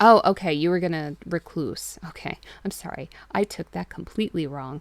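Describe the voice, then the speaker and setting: The voice has vocal fry, ordinary pitch variation and big swings in loudness. The sound is dry and close with no echo, on a very clean recording with a silent background. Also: woman, fairly low pitch for a woman, moderate pace. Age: 30s. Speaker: streamer reading horror stories. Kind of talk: reading aloud. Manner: stutters, trips over words.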